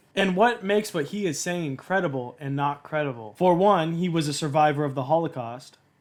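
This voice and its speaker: In an unremarkable speaking voice, a man talks at a fairly high pitch with ordinary pitch variation. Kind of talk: commentary analysing a talk.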